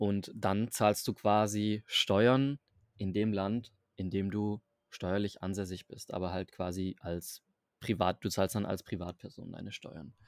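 In a very clean recording with a silent background, a man with a fairly low pitch and fairly even intonation speaks very slowly, the sound dry and close with no echo. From southern Germany, Stuttgart area. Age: 20s. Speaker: digital nomad. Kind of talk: casual interview. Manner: halting.

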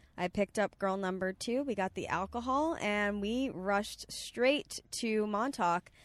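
A plain, everyday voice with an American accent, fairly slow and with ordinary pitch variation, in a very clean recording with a silent background and a dry, close sound with no echo. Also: woman. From Long Island, New York. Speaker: comedian. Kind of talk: casual chat. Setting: in a car.

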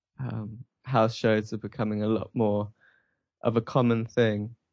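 Speaking at a fairly slow pace, a man with an English accent uses a medium pitch. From England. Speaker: musician. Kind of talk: interview. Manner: hesitant, many fillers.

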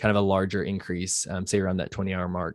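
A man at a very fast pace and fairly low pitch, on a very clean recording with a silent background. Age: 30s. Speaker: exercise science researcher. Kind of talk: interview.

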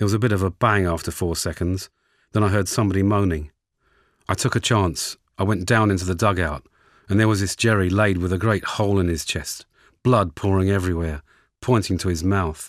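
In a Lancashire accent, a man with a very deep, low pitch talks at a fairly quick pace with fairly even intonation. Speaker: war veteran. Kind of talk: recorded oral history recollection.

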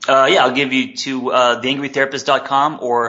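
A man with a West Coast US accent. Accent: General American, West Coast. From Los Angeles. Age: 40s. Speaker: therapist and life coach. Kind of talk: interview.

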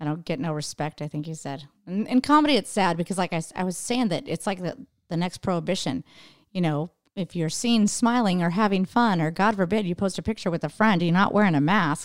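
Lively intonation and a fairly quick pace in an American accent, a normal speaking voice on a very clean recording with a silent background. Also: woman, fairly low pitch for a woman. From Idaho. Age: 40s. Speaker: stand-up comedian. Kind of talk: casual chat.

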